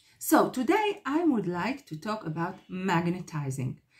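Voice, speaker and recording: A woman speaks in a medium pitch with a dark, mellow tone. Her voice is somewhat breathy, with very wide pitch swings. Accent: non-native. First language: not English. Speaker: psychotherapist YouTuber. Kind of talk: talking-head video monologue. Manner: halting, many fillers.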